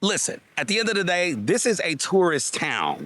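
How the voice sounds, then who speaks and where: A man with a Southern US accent and an animated tone. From US South. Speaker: travel vlogger. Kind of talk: walking vlog. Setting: outdoors.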